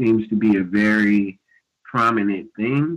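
The speaker is a man with a medium pitch. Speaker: caller. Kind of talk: call-in question.

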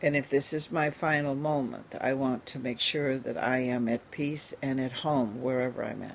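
A woman with a very deep, low, warm voice talks at a moderate pace with fairly even intonation and hardly any pauses. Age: 70s. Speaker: radio host and spiritual teacher. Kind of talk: radio talk show monologue. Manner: warm, reflective, spiritual.

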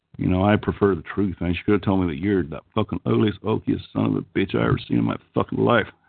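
In an Oklahoma accent, a man with a very deep, low voice talks very fast with hardly any pauses, his pitch swinging very widely. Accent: Okie-like twang. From California, San Joaquin Valley. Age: 50s. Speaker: call-in show host. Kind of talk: casual chat.

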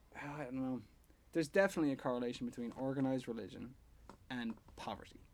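A man with an Irish accent talks very fast at a medium pitch, his pitch varying in an ordinary way. He leaves long, frequent pauses. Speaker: podcast co-host. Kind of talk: casual chat.

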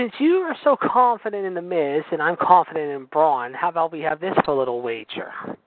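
A man talks at a fairly quick pace with hardly any pauses, his high pitch and lively intonation heard over noticeable background noise. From Pittsburgh, US. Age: 40s. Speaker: wrestling podcast co-host. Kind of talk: casual chat. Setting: phone call.

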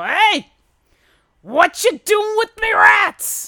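This put-on character voice is gruff and extremely high in pitch. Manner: gruff, confronting.

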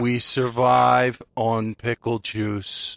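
The speaker is a man at a medium pitch. He uses a put-on character voice. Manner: slow with pauses.

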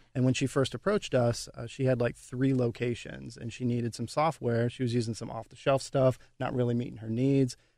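An ordinary speaking voice in an American accent, at a fairly quick pace with fairly even intonation. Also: man. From West Virginia. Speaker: software company co-founder. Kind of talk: radio interview.

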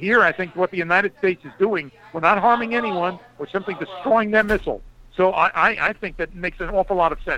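Raising and projecting his high-pitched voice, a man talks very fast against noticeable background noise. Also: ordinary pitch variation. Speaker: foreign policy analyst and author. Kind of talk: radio interview. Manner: formal.

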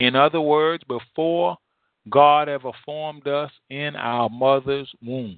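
Speaking slowly, a man has a fairly high pitch and fairly even intonation. The sound is dry and close, with no echo.

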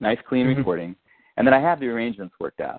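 His intonation rises and falls in a lively way. The male speaker has an American accent. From US Midwest (Rock Island, Illinois). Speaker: singer-songwriter and author. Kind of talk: interview. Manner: casual, hesitant with fillers.

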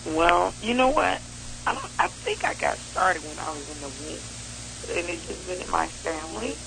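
A woman with an American accent talks at a moderate pace, with big swings in loudness. Audible room echo and noticeable background noise fill the recording. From Chicago. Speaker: jazz trumpet player. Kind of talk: casual interview.

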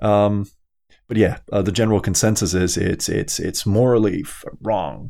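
A man's fairly low-pitched voice with a dark, mellow tone, ordinary pitch variation and a moderate pace, in a very clean recording with a silent background. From Denmark. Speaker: guest. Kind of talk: casual chat.

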